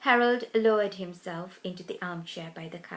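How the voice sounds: It is a natural reading voice. The pitch shows ordinary variation.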